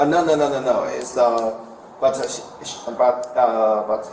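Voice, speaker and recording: A man with a Chinese accent speaks at a medium pitch and a fairly slow pace with fairly even intonation, amid noticeable background noise and audible room echo. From China. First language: Mandarin Chinese. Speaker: parent questioned by police. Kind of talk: police questioning. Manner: halting.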